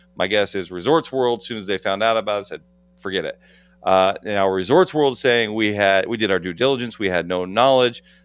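A man talks at a fairly quick pace with ordinary pitch variation in a normal speaking voice. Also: fairly low pitch for a man. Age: 40s. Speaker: legal analyst. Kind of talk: casual chat.

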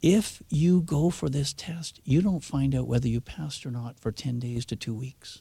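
With a Canadian accent, a man talks at a moderate pace with hardly any pauses, his pitch fairly high and ordinarily varied. His voice has a dark, mellow tone and is somewhat breathy. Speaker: driving instructor. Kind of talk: radio interview. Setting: studio.

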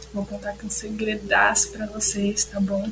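Music in the background behind a fairly high-pitched female voice. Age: 20s. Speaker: podcaster and collective member. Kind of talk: casual chat.

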